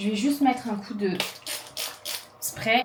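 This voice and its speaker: Over noticeable background noise, a woman speaks at a moderate pace and medium pitch with fairly even intonation. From Réunion (Saint-Denis). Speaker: lifestyle vlogger. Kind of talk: casual vlog chat.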